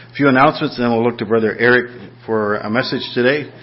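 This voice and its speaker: With music in the background, a man talks at a fairly quick pace and medium pitch with fairly even intonation. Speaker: church pastor leading service, announcements. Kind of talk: church announcements and prayer. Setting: church.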